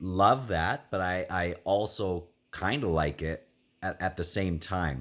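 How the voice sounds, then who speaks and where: On a very clean recording with a silent background, a man speaks at a very slow pace in a very deep, low pitch. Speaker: book reviewer. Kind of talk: casual video review. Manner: hesitant with fillers and repeats.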